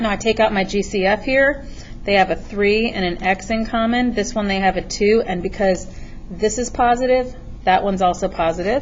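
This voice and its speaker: A woman talks in a normal speaking voice at a medium pitch, with ordinary pitch variation. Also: moderate pace. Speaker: math teacher. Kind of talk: tutorial. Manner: casual.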